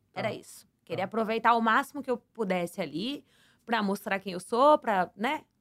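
A woman with an ordinary speaking voice talks at a fairly quick pace and a fairly high pitch, recorded dry and close with no echo. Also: lively intonation. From Santos, São Paulo state, Brazil. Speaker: former reality show contestant and flight attendant. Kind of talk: casual interview.

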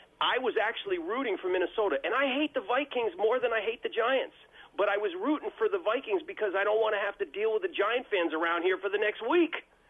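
High male voice, very fast, with very wide pitch swings and very even loudness. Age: 60s. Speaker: caller. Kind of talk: call-in sports talk. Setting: phone call.

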